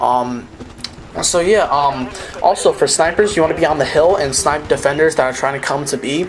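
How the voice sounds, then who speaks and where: Noticeable background noise runs under the voice. The pace is fairly quick. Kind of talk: tutorial. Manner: fast; halting, stumbling.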